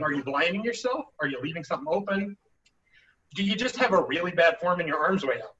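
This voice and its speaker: Raising and projecting his voice, a man speaks fairly quickly in a high pitch. His intonation is lively. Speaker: combat sports instructor. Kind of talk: instructional talk at practice. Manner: fast.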